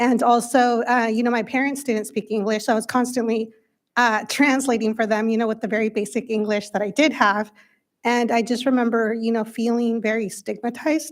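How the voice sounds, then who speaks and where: A woman with a Spanish accent talks at a fairly quick pace and fairly high pitch, her intonation monotone and flat. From Windsor area, California (US). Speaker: school board member. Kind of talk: speech at a public meeting. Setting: school board meeting.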